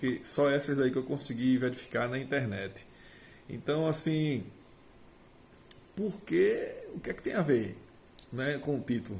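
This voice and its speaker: With ordinary pitch variation, this somewhat breathy voice proceeds at a moderate speed. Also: man. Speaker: agricultural technician and vine grower. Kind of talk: casual monologue to camera.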